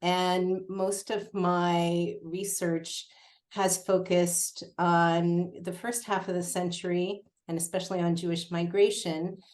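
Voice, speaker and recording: A woman at a very slow pace with monotone, flat intonation. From Canada, Montreal. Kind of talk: panel talk. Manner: hesitant, many fillers.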